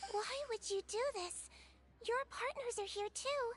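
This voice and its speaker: A put-on character voice talks at a fairly slow pace. It is squeaky, with an extremely high pitch. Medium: video game. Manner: calm, clinical.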